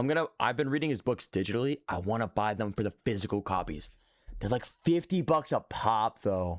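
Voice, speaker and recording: An American man talks at a fairly quick pace in an animated tone. His intonation is lively, and the sound is dry and close with no echo. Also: medium pitch for a man, very clean recording, silent background. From Texas, Dallas area. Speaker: streamer. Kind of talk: casual live-stream reaction chat.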